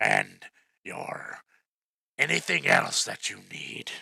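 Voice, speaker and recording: A man uses a raspy put-on character voice at a very slow pace, with a dry, close sound and no echo. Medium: actual play. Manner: polite, deferential.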